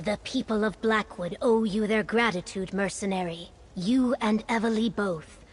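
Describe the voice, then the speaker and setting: A woman performs a put-on character voice over clear background noise. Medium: video game. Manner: formal.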